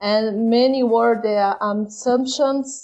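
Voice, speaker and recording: The speaker has a Brazilian Portuguese accent and keeps the intonation fairly even. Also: woman. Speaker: patient sharing her illness story. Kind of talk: interview.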